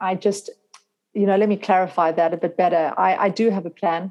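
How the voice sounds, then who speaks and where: A woman with a dark, mellow tone and medium pitch talks at a fairly quick pace. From South Africa. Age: 40s. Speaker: functional medicine health coach. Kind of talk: interview.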